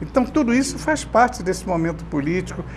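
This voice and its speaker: A man speaks at a moderate pace, his voice carrying audible room echo over noticeable background noise. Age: 80s+. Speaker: veteran journalist. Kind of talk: casual chat.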